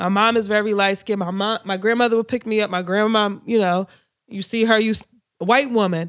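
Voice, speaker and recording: Her pace fairly quick, a woman talks at a fairly high pitch with fairly even intonation. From Philadelphia area, US. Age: 20s. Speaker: podcast co-host. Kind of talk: casual chat. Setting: studio.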